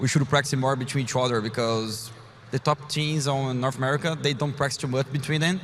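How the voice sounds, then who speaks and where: Speaking at a fairly quick pace in a Portuguese accent, a man sounds somewhat breathy, with fairly even intonation. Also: medium pitch for a man. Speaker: professional esports player. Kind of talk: interview.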